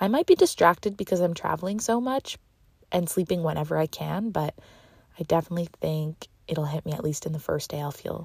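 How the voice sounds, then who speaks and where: A woman with a Canadian accent speaks in an animated, somewhat breathy voice, fairly low in pitch with ordinary pitch variation, at a fairly quick pace. The recording is very clean, with a silent background and a dry, close sound with no echo. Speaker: podcast host and dancer. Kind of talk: casual solo monologue. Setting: in a car. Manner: fast.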